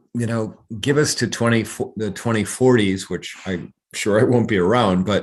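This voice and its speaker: A man talks at a moderate pace. His pitch is medium, and the background is quiet. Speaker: author and diversity trainer, former trial lawyer. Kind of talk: podcast discussion. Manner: animated.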